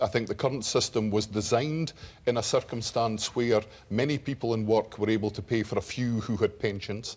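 With a Scottish accent, a man speaks at a medium pitch and a fairly quick pace. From northeast Scotland. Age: 50s. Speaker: politician. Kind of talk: televised debate. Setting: TV studio with audience. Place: studio.

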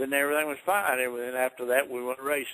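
A man's bright, sharp voice in a Southern US accent, medium in pitch, fairly even in intonation and very fast in pace. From Virginia. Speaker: retired NASCAR driver. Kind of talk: interview answer.

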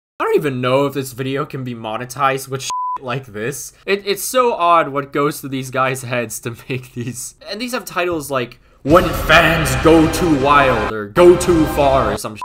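Spoken at a moderate pace with hardly any pauses, the voice shows ordinary pitch variation and big swings in loudness, set against noticeable background noise and audible room echo. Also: man. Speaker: youtuber. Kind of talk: comedic commentary. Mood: joking, amused, laughing. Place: home room.

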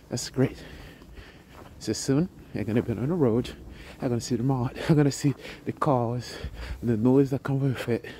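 With a dark, mellow tone and a somewhat breathy quality, a man talks at a moderate pace with ordinary pitch variation, the sound dry with no echo and light background noise behind him. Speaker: travel vlogger. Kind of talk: casual vlog chat. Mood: calm, appreciative. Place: open country. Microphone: phone near.

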